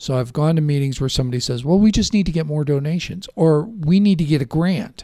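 A man with a fairly high, dark and mellow voice races along at a very fast pace with hardly any pauses and ordinary pitch variation. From Chicago. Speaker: local radio talk show host. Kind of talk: casual radio interview. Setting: radio studio.

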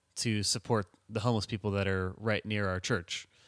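A man with an unremarkable speaking voice talks at a moderate pace, his fairly low pitch carrying fairly even intonation on a very clean recording with a silent background. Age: 20s. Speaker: church member and artist. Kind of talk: casual interview answers.

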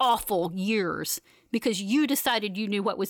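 With ordinary pitch variation, the words flow in an unforced reading voice.

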